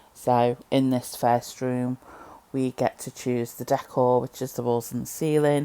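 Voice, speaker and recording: A fairly slow voice with a Liverpool accent, in a dry, close sound with no echo. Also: woman. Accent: Scouse. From Liverpool, England. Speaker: game reviewer. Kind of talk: casual game review commentary. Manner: casual, hesitant with fillers.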